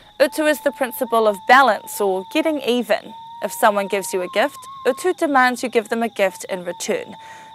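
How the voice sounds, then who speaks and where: With music in the background, a woman speaks at a fairly quick pace in a fairly high pitch with very wide pitch swings. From New Zealand, Whanganui. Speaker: educational series presenter. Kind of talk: scripted narration.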